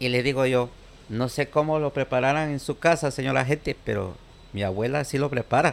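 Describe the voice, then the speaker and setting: A fairly quick pace with ordinary pitch variation. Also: man, medium pitch for a man. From Guatemala, Sololá. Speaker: immigrant. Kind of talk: interview. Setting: makeshift studio.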